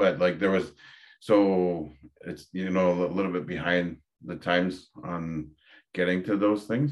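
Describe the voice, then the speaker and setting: A man with an Ontario accent, very deep and low in pitch, at a fairly slow pace with ordinary pitch variation. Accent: Canadian (Ontario). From Ontario, Canada (Dokis First Nation). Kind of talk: interview conversation.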